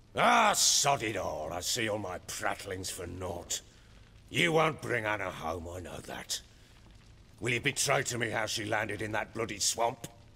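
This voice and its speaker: A man puts on a gruff, raspy character voice, pitched fairly low, with ordinary pitch variation and a moderate pace. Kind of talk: video game dialogue. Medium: video game. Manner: coarse, gruff.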